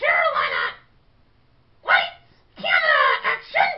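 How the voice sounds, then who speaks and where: Shouting in a cartoonish character voice at an extremely high pitch, the speaker moves at a fairly slow pace. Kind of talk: puppet comedy. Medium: puppet show. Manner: snippy, easily offended.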